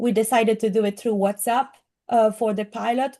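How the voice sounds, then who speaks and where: A woman speaks in a strong Italian accent with a fairly high pitch and a dark, mellow tone. Her intonation is monotone and flat, over a quiet background. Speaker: AI skills course instructor. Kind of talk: presentation.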